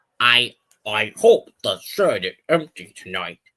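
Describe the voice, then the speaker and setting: A man puts on a character voice. His pace is fairly slow. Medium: read story. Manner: pompous, scornful.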